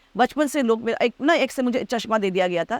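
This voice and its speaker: A woman talks at a moderate pace with lively intonation. The sound is dry and close, with no echo. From Delhi, India (Bengali family). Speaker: actress. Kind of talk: casual interview chat. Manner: loud laugh.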